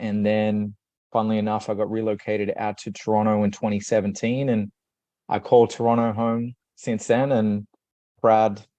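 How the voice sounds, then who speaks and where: In an Australian accent, the voice has a dark, mellow tone and monotone, flat intonation at a moderate pace. Long, frequent pauses break it up against a quiet background. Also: man. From Australia, Sydney. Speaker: leadership coach. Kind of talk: podcast interview.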